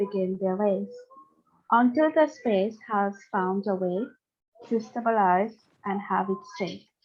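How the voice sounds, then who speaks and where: A woman talks at a very slow pace, her pitch in the medium range. Music plays in the background. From Mauritius and Ireland. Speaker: training participant. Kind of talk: reading aloud a poem.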